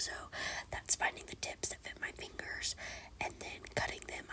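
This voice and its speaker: Noticeable background noise surrounds a woman's whispered speech. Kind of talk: casual nail tutorial talk to camera.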